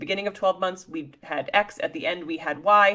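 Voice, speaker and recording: On a very clean recording with a silent background, a woman speaks at a fairly quick pace in a medium pitch with ordinary pitch variation. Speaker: dentist and practice coach. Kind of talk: tutorial. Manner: fast; animated.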